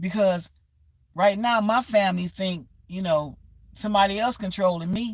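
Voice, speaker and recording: A somewhat breathy woman's voice at a medium pitch. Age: 60s. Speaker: livestreamer. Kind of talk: motivational livestream talk. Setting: livestream.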